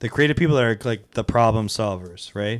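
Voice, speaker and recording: In a very clean recording with a silent background, an unremarkable speaking voice shows ordinary pitch variation. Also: man. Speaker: podcast co-host. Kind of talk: casual chat.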